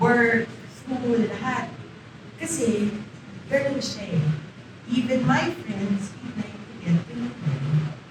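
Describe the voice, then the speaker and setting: A woman's fairly high voice at a very slow pace, with very wide pitch swings, big shifts in loudness, long, frequent pauses, audible room echo, and noticeable background noise. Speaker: widow giving eulogy. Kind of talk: eulogy.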